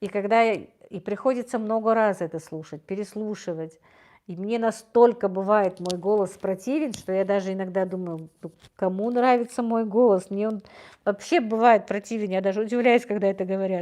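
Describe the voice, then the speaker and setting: A woman speaks at a moderate pace and a medium pitch, with ordinary pitch variation. Her tone is dark and mellow, and the background is quiet. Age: 50s. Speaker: livestream host. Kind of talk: livestream chat reading viewer comments. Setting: live stream. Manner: warm, gentle.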